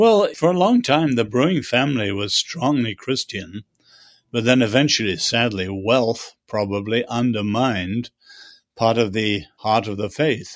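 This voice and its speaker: At a fairly slow pace, a speaker with a British accent uses ordinary pitch variation against a quiet background. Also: man, medium pitch for a man. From China, schooled in England. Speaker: author and social critic. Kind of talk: interview.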